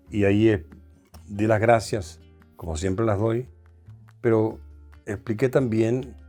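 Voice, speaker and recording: Over music in the background, a man speaks fairly slowly at a fairly low pitch with ordinary pitch variation. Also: long, frequent pauses. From Venezuela. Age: 70s. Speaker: singer and actor. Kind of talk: interview answer.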